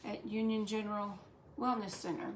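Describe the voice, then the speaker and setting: In a Southern US accent, a woman speaks at a fairly high pitch. Audible room echo and noticeable background noise fill the recording. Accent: Southern US (Georgia). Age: 60s. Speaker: cooking channel host. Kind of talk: cooking tutorial. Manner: casual, hesitant with fillers.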